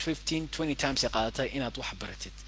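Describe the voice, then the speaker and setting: A very fast man's voice with a fairly high pitch, vocal fry and ordinary pitch variation. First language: Somali. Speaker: English teacher. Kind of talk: language lesson. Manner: code-switching between English and Somali.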